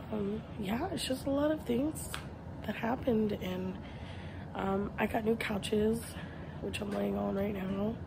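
Against noticeable background noise, a woman speaks at a moderate pace in a tired tone. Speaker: vlogger. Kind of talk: casual vlog chat. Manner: low, tired voice lying down. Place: home room. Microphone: phone near.

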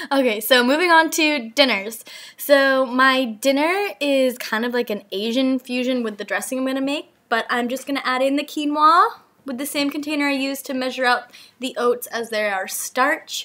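A woman speaks in a bright, sharp tone with a raised, projected voice. Her pitch varies in an ordinary way at a moderate pace. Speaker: wellness vlogger. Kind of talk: tutorial narration. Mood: upbeat and friendly. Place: kitchen.

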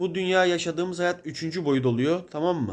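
A man's voice sits high in pitch and varies in an ordinary way. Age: 20s. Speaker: video blogger. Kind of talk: spiritual monologue. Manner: casual, conversational.

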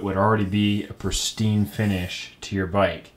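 In an unremarkable speaking voice, a man talks at a moderate pace with a fairly low pitch. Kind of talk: tutorial. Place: home room.

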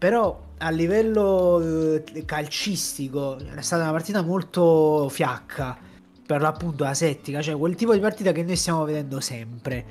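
A normal speaking voice keeps to a moderate speed, its pitch moving in an ordinary way. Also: man, fairly high pitch for a man. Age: 20s. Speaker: football podcast host. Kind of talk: casual football analysis chat. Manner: casual, conversational.

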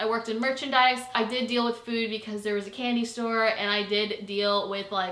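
The delivery is monotone and flat, fairly quick, with hardly any pauses. Room echo can be heard. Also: woman. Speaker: vlogger. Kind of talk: casual vlog chat. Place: home room.

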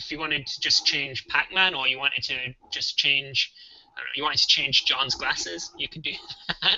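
A man's fairly high voice with ordinary pitch variation, moderate pace and big swings in loudness, against noticeable background noise. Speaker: game programmer and co-host. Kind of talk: tutorial, live coding. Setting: live stream online.

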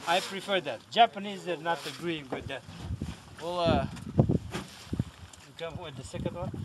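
The speaker talks at a moderate pace with ordinary pitch variation. Long, frequent pauses break up the speech over loud background noise. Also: man, high pitch for a man. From Romania. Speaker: commercial salmon fisherman. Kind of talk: interview answer. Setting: outdoors. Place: boat. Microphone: camera far.

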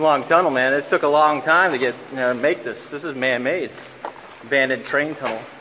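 Here a man talks at a fairly quick pace with fairly even intonation. Light background noise sits behind him. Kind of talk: casual vlog chat. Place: tunnel cave. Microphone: phone near.

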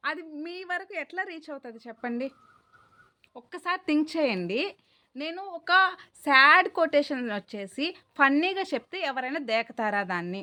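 A woman's raised, projected voice, high-pitched with a bright, sharp tone, very wide pitch swings and big swings in loudness. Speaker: YouTuber. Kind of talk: monologue vlog. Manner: clear.

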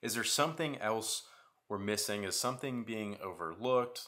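The man's tone is bright and sharp. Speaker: parent vlogger. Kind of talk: casual vlog chat. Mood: serious, worried. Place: home room.

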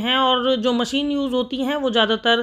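Against a quiet background, a woman's voice comes through with a bright, sharp tone. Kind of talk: tutorial. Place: shop. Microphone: phone near.

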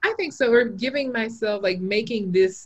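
Over a quiet background, a woman speaks with lively intonation in a somewhat breathy voice at a moderate pace. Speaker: illustrator and teacher; teacher. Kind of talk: casual chat. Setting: video call. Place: home room. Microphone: video call.

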